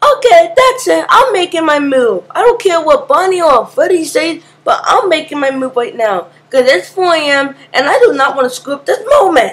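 A put-on character voice, female-sounding and extremely high for a woman, swings very widely in pitch. It moves at a moderate pace. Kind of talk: amateur comic voice acting. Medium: machinima. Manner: complaining, then determined.

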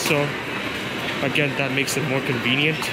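Loud background noise under a man at a fairly quick pace. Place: station.

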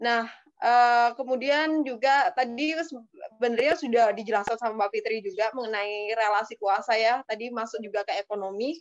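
A woman's fairly high voice over a quiet background. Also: ordinary pitch variation, moderate pace. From Indonesia. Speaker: activist; talk show guest. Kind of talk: webinar talk. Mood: thoughtful, earnest. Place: home room. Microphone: video call.

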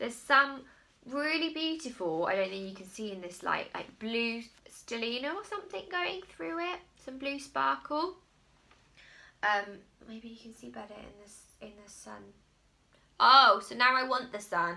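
Speaking at a fairly slow pace, a woman with a fairly high pitch and a bright, sharp tone makes very wide pitch swings and big swings in loudness. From England, Cotswolds; England. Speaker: crochet designer and magazine editor; crochet podcast host. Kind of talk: casual video podcast monologue. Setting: filmed at home. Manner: rambling, hesitant. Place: home room. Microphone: phone near.

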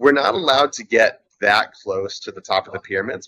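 Over light background noise, a man with an American accent speaks at a moderate pace. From United States. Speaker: adventure sports athlete and paramotor pilot; interview guest. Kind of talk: interview. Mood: friendly, amused. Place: boat. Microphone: video call.

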